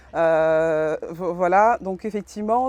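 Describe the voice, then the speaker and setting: The voice has a dark, mellow tone and ordinary pitch variation, recorded dry and close with no echo. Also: woman. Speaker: social worker presenting at a conference. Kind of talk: conference presentation. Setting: conference room with audience. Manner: halting, many fillers and restarts.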